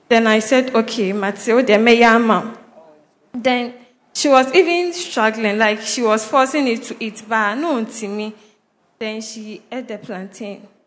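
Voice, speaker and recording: A woman speaks fairly slowly in a normal speaking voice, her pitch fairly high with ordinary variation and her loudness swinging widely. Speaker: church member giving testimony. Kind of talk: personal testimony.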